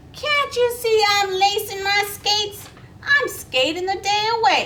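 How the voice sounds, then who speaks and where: Someone does a squeaky, put-on character voice at a fairly slow pace, with clear background noise. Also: woman, extremely high pitch for a woman. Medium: read story.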